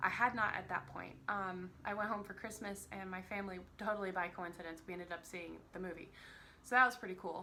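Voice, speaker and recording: In a room with audible echo, a woman with a bright, sharp tone and medium pitch talks at a fairly quick pace, vocal fry creeping in. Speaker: vlogger discussing books and films. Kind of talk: casual vlog talk. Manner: casual, rambling with many fillers.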